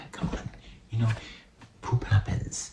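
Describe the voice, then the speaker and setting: Noticeable background noise accompanies a man speaking in a relaxed tone at a moderate pace. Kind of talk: ASMR soft-spoken ramble about movies, casual talk to camera. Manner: soft-spoken, whispery, relaxed.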